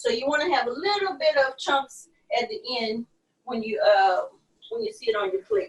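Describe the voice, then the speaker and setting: A woman speaks with a Louisiana accent in a high pitch. Her pitch swings very widely. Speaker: chef and restaurant owner. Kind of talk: live cooking demo interview.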